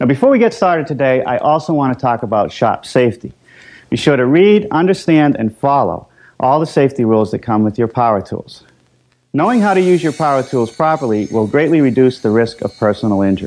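A man delivers his words fairly quickly. Nothing much sounds behind him in the quiet background. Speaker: woodworking show host. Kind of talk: tutorial. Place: workshop.

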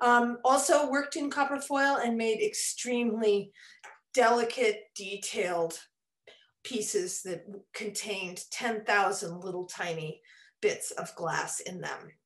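Over a quiet background, a woman talks at a fairly slow pace with lively intonation. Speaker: stained glass instructor. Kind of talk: lecture. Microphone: webcam.

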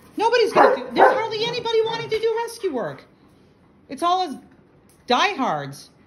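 A woman's extremely high voice with very wide pitch swings, a fairly quick pace and noticeable background noise. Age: 60s. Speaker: dog rescue operator. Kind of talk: casual vlog rant. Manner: animated. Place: home room. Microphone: phone near.

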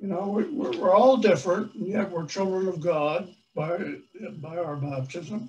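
This man, with an American accent, has a high pitch and ordinary pitch variation. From US Northeast, Long Island, New York. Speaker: priest. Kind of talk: sermon. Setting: church. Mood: warm, earnest.

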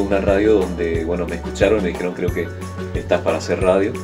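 A man's fairly low voice over clear background music. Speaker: radio and TV announcer, voice-over professional with a home recording studio. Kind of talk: interview answer about his career. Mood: relaxed, friendly. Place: booth. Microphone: studio mic.

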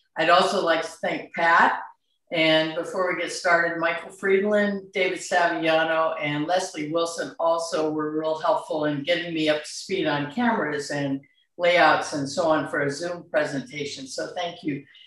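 The voice keeps a moderate pace and fairly even intonation. Room echo is audible against a quiet background. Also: woman, fairly low pitch for a woman. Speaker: demonstrating artist. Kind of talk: presentation talk. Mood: warm, grateful. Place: home room. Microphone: video call.

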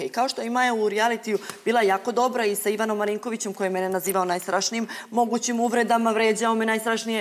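A woman's very fast, fairly high-pitched voice in a monotone, flat delivery. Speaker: reality show contestant. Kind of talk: studio panel discussion. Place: studio. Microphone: lapel.

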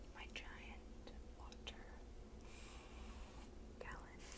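Amid loud background noise, a soft-spoken woman whispers. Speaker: video creator. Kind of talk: casual ASMR-style chat. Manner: soft ASMR whisper, close to mic. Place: home room. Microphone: earbuds.

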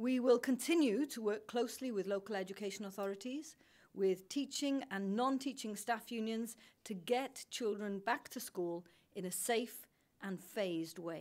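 A woman speaks at a moderate pace. Her pitch varies in an ordinary way. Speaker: government minister. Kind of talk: prepared press statement. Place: hall.

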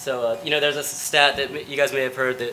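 Light background noise is present. Over it, a man talks at a fairly quick pace. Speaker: presenter. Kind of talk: conference talk. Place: stage.

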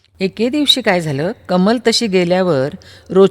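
Lively intonation in a natural reading voice

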